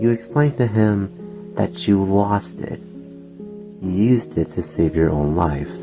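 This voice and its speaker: Music sits in the background while the talking unfolds very slowly. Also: man. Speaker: ASMR roleplay narrator. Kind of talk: ASMR roleplay story narration.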